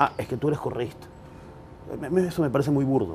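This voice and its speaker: His voice shows ordinary pitch variation as the man speaks. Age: 40s. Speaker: political commentator; interview guest. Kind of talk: interview. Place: garden. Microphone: lapel.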